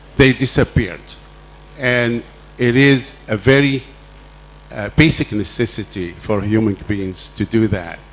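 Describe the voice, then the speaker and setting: A man with a fairly low pitch speaks at a fairly slow pace, using ordinary pitch variation. There is noticeable background noise. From Egypt, Cairo. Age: 70s. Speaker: audience member at panel Q&A. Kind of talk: audience question at panel discussion.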